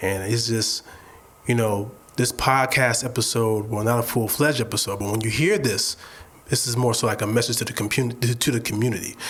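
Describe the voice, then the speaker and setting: With noticeable noise behind him, a man of medium pitch speaks at a fairly quick pace with fairly even intonation. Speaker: podcast co-host. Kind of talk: message to listeners. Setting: studio. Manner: fast, stumbling over words.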